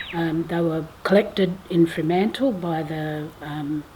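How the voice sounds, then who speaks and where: Over noticeable background noise, a woman speaks with a fairly low pitch and fairly even intonation. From Western Australia, Geraldton. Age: 50s. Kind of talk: oral family history testimony. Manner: hesitant, many fillers.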